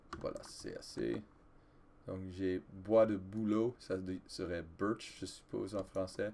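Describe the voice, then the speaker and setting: A man with a very deep, low pitch, a dark, mellow tone, ordinary pitch variation and a very slow pace. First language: English (speaking French). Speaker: gaming video creator, French teacher. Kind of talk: let's play gameplay commentary. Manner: halting, with hesitations and self-corrections.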